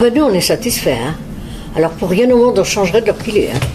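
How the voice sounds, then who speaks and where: A woman's intonation is lively as music plays in the background. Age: 80s+. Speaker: retirement home resident. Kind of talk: testimony. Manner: hesitant, many filler words.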